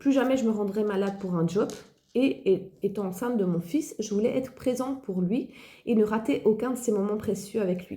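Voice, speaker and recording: Somewhat breathy, a woman speaks in a dark, mellow tone at a fairly high pitch with ordinary pitch variation. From Belgium. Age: 40s. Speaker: online entrepreneur, former occupational therapist. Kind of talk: personal testimony.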